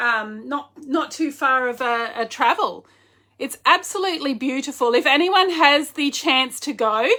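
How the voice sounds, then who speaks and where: With an Australian accent, a woman speaks in a raised, projected voice at a high pitch. Her tone is bright and sharp, her intonation lively, and her pace fairly slow. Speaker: online clothing seller. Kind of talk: casual livestream chat. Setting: live video stream. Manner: animated.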